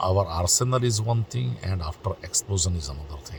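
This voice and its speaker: Somewhat breathy, a man with a non-native accent speaks at a very deep, low pitch. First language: not English. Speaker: political commentary vlogger. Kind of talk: opinion monologue. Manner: hesitant, many fillers.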